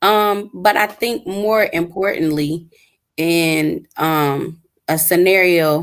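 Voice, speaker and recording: Very slow in pace, a woman speaks with an American accent and ordinary pitch variation. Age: 30s. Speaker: teacher, panel guest. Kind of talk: casual panel discussion. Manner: hesitant, many fillers.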